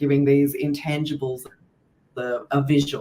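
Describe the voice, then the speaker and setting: With an Australian accent, a woman speaks in a very deep, low voice, her intonation flat and monotone. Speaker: podcast host, tarot deck creator. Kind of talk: casual podcast interview.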